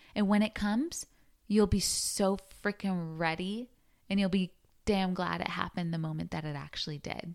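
Her tone is animated, with ordinary pitch variation. The woman talks at a moderate pace and medium pitch. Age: 30s. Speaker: podcast host. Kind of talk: casual solo monologue. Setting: sitting on bed at home.

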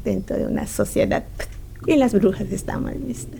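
Her tone is dark and mellow, with a fairly high pitch. The woman speaks at a fairly slow pace. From Yucatán, Mexico. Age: 40s. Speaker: community theatre director and actress. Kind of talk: interview. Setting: community theatre venue.

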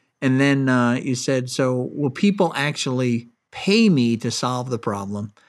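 In a normal speaking voice at a medium pitch, a man talks at a fairly slow pace with ordinary pitch variation on a very clean recording with a silent background. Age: 60s. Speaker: podcast host and angel investor. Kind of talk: interview.

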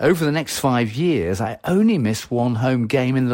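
A man in a Lancashire accent with lively intonation on a very clean recording with a silent background. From northern England, Wigan, Lancashire. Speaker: journalist and broadcaster. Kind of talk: personal reminiscence.

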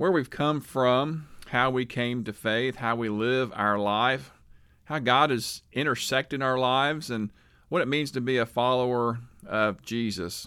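A man with an American accent speaks at a medium pitch, with a bright, sharp tone. His pace is fairly slow and his pitch variation ordinary. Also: very clean recording, silent background. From Oklahoma, Tulsa. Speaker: pastor and podcast host. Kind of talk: casual podcast monologue.

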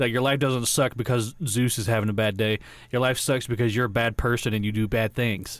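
At a fairly quick pace, a man with an American accent speaks in an unremarkable speaking voice of medium pitch, with fairly even intonation and very even loudness. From Georgia, US. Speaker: podcast co-host. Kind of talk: casual chat.

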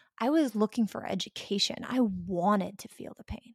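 A woman speaks at a moderate pace in an American accent, her voice somewhat breathy and fairly high. The tone is dark and mellow, with a dry, close sound and no echo. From US South. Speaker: spiritual teacher. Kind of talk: interview.

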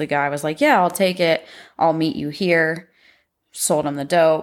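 A woman's fairly low voice with a Midwestern American accent and fairly even intonation, on a very clean recording with a silent background. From Ohio, Pickaway County. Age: 30s. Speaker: recovering addict. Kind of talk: testimony.

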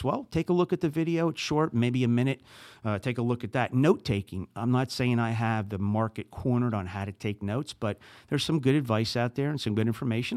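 A man with a New Jersey accent talks at a very fast pace, his pitch medium with ordinary variation. The recording is very clean and dry, close with no echo, over a silent background. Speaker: podcast host. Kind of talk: solo podcast monologue, casual.

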